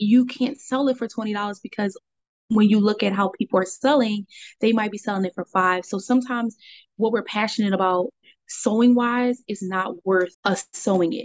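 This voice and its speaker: A woman with a Philadelphia accent, fairly high in pitch, with fairly even intonation. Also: moderate pace. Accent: Philadelphia-area American. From Delaware County, Pennsylvania. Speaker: small business owner. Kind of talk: casual interview.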